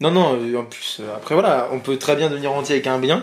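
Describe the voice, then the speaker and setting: A man talks in a fairly high voice at a moderate pace. His pitch varies in an ordinary way. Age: 20s. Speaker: student and property investor. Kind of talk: casual interview. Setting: at the guest's home. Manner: hesitant, many fillers.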